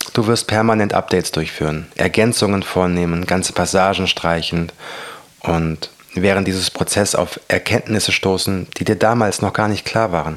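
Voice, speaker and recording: The speaker is soft-spoken, with very even loudness and fairly even intonation at a moderate pace. Noticeable background noise sits behind the voice. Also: man, very deep, low pitch for a man. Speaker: motivational podcaster and author. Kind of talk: reading aloud from own book.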